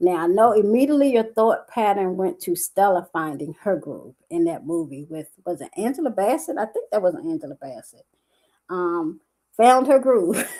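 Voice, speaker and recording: On a very clean recording with a silent background, a woman speaks at a moderate pace in an animated tone with very wide pitch swings. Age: 60s. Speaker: life coach and entrepreneur. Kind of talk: livestream talk to viewers. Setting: live stream on Facebook.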